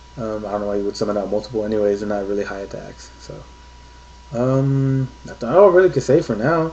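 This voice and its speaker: Over noticeable background noise, a man speaks at a very fast pace in a fairly low voice. His loudness swings widely. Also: ordinary pitch variation. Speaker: card game video reviewer. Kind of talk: unscripted card review video. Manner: halting, with fillers.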